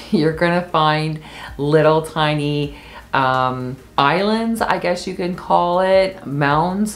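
A woman speaks with a very deep, low pitch. She goes at a very slow pace. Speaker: travel vlogger. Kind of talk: travel tips talk to camera. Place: home room.

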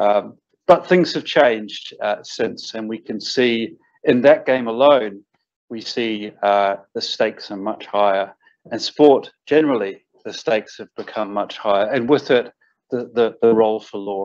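Man's medium-pitched voice in a New Zealand accent, fairly slow, with ordinary pitch variation and big swings in loudness. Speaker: arbitration lawyer. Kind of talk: welcome address.

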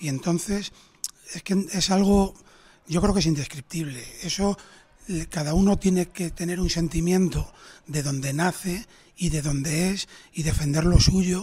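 This man's voice sits high for a man, with fairly even intonation and long, frequent pauses. The recording is very clean, with a silent background. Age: 30s. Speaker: restaurant owner. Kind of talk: interview.

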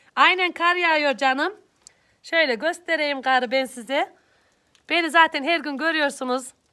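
The recording is very clean, with a silent background. A woman with a high, bright, sharp voice projects loudly at a fairly slow pace with ordinary pitch variation. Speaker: YouTube vlogger. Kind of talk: live stream greeting viewers.

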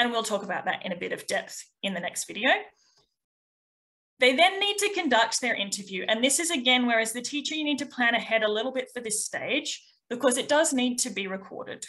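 Speaking at a fairly quick pace, a woman uses a fairly high pitch, lively intonation and a bright, sharp tone.

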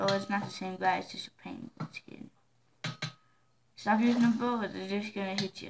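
Against noticeable background noise, a woman with a medium pitch speaks at a moderate pace with fairly even intonation and long, frequent pauses. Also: big swings in loudness. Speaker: gamer. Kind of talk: gameplay commentary.

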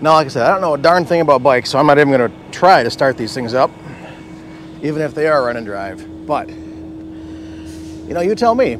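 Over light background noise, a man talks at a fairly quick pace, the sound dry with no echo. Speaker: car channel host. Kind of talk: casual vlog commentary. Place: street. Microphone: phone near.

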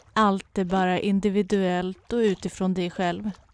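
The voice is calm and soothing, monotone and flat, at a very slow pace. The sound is dry and close, with no echo. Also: woman. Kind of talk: guided meditation. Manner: slow, calm and soothing, with long pauses; soft-spoken and gentle.

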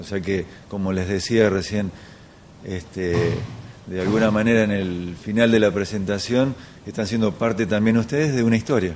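Light background noise sits behind a man speaking at a moderate pace. His voice is fairly low, with fairly even intonation. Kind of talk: interview answer. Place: meeting room. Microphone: handheld.

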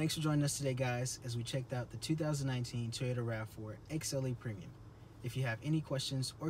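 Light background noise sits behind a man whose voice is somewhat breathy. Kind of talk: product walk-around presentation. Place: car. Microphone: phone near.

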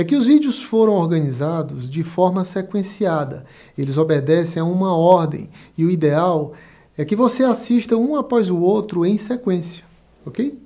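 With a Brazilian accent, a man speaks at a high pitch in a dark, mellow tone over a quiet background. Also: lively intonation, moderate pace. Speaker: business consultant and online course instructor. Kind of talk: motivational pep talk, sales-style pitch. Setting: studio, video recording. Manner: upbeat, persuasive, energetic; direct, addresses viewer.

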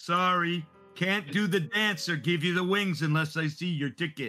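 Someone uses a put-on character voice at a moderate pace, with faint music in the background. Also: man, high pitch for a man. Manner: patient, firm.

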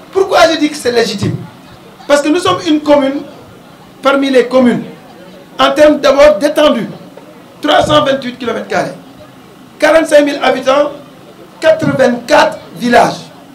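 A man with an extremely high pitch talks at a very slow pace, with ordinary pitch variation and long, frequent pauses. The room echo is audible and there is light background noise. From Senegal. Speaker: mayor. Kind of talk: public speech. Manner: formal. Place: street. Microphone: handheld.

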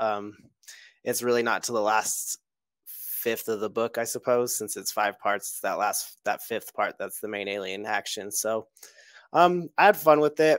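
A man speaks at a moderate pace in a fairly low voice with ordinary pitch variation. The sound is dry with no echo, and the background is quiet. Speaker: forum member guest. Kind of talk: casual chat. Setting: video call. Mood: relaxed, thoughtful. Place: home room. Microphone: headset.

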